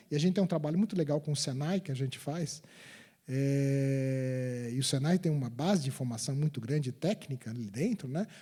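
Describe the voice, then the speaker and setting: Somewhat breathy and dark in a mellow way, a man's fairly high voice moves at a moderate pace with ordinary pitch variation. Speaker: electrical engineer, guest lecturer. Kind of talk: guest lecture to university students. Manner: halting, many repetitions and fillers.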